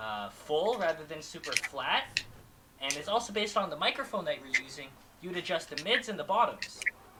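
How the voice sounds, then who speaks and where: A man with a high pitch and lively intonation at a fairly quick pace, amid noticeable background noise. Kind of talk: casual chat. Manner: halting.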